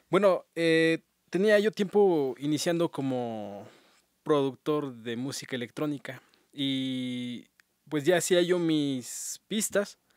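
A man's fairly high voice with lively intonation at a very slow pace, dry with no echo, over a quiet background. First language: Otomí (ñañú) (speaking Spanish). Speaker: musician and electronic music producer; guest. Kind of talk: radio interview. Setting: radio studio. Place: studio. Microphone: studio mic.

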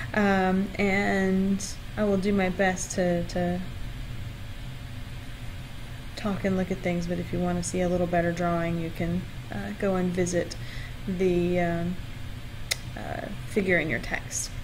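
Over noticeable background noise, a woman with a fairly low pitch speaks in a monotone, flat intonation at a fairly slow pace, with long, frequent pauses. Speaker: university lecturer. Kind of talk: lecture. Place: home room. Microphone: webcam.

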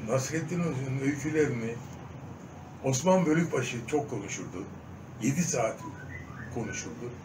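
A man speaks at a moderate pace with ordinary pitch variation, long, frequent pauses and noticeable background noise. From Diyarbakır, Turkey. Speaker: stage and film actor. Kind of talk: interview answer. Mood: earnest, reflective. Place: home room. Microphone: phone near.

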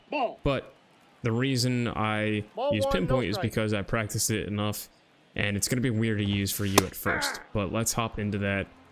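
Against noticeable background noise, the speaker uses an American accent, fairly even intonation and a fairly quick pace. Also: man. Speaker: gaming YouTuber. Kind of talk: casual gaming tutorial commentary.

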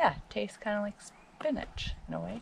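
The delivery comes at a fairly slow pace with a fairly bright tone. Vocal fry runs through it. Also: woman.

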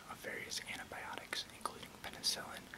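A soft-spoken man whispering at a fairly quick pace over loud background noise. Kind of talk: reading an encyclopedia article aloud. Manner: soft close ASMR whisper, reading. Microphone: webcam.

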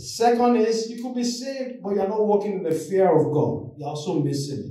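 This man speaks at a moderate pace, his pitch swinging very widely. Audible room echo surrounds him against a quiet background. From Nigeria. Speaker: lay preacher. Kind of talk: sermon. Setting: church. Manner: animated. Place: church. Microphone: camera far.

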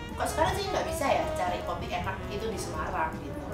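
A woman talking at a fairly quick pace over loud background music, with audible room echo. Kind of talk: interview answer. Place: workshop.

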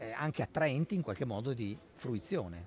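A man speaks at a moderate pace with very wide pitch swings. The sound is dry with no echo, with light background noise. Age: 60s. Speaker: history professor. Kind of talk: interview. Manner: halting. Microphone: studio mic.

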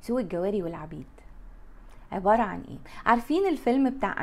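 The woman's tone is animated. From Egypt. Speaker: lifestyle vlogger. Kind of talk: casual monologue to camera. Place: home room. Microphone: lapel.

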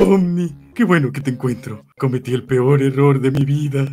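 Putting on a character voice, a man speaks at a moderate pace and a medium pitch. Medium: role play.

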